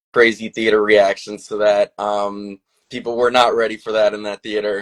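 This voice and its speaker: Flat, monotone intonation in a Long Island accent, at a moderate pace, with a dry, close sound and no echo. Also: man. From Long Island, New York. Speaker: filmmaker. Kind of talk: casual interview. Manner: halting, many fillers.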